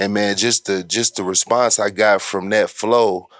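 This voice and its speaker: Fairly low in pitch, a man talks with an American accent. His intonation is fairly even. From Oklahoma City, US. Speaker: guest, rapper. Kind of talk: casual chat.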